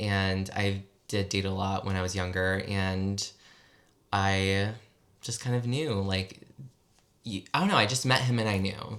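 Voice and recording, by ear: With an American accent, a man talks low in pitch and fairly bright in tone at a fairly slow pace, with fairly even intonation and long, frequent pauses.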